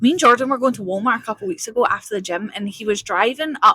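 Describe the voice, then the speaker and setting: Very fast speech in a Scottish central belt accent, animated, with a bright, sharp tone and ordinary pitch variation. The sound is dry and close, with no echo. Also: woman. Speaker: vlogger. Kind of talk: casual chat. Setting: in a car.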